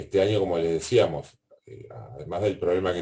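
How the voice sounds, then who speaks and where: Dark, mellow tone and somewhat breathy delivery from a man. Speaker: university lecturer. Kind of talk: online class Q&A. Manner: fast.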